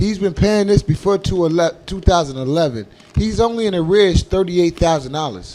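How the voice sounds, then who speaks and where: Noticeable background noise runs behind a man with a high pitch and an animated tone. His intonation is lively, and his pace is moderate. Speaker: comedy radio host. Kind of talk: casual chat.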